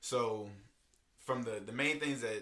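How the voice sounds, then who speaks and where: The man's voice has a bright, sharp tone and ordinary pitch variation, with audible room echo around it. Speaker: podcast host. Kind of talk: casual solo podcast talk. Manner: fast; animated.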